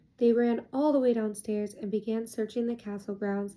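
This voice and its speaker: A soft-spoken woman talks with a dark, mellow tone at a fairly high pitch. Her intonation stays fairly even. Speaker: ASMR creator. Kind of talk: children's book reading.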